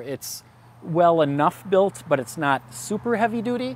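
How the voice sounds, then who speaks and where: There is lively intonation from a man, with light background noise and a dry sound with no echo. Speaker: product reviewer. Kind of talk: product review talk. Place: garden. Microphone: lapel.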